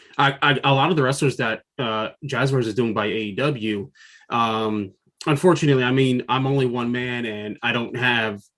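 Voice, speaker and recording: Against a quiet background, a man with a medium pitch talks at a moderate pace with fairly even intonation. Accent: American. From New Jersey. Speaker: freelance toy designer, figure line creator. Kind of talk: interview.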